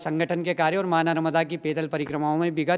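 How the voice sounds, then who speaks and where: Against a quiet background, a man talks in a high voice with fairly even intonation. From Bhopal, Madhya Pradesh, India. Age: 50s. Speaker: sadhu, former kar sevak. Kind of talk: interview testimony. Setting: in a temple. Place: church. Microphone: handheld.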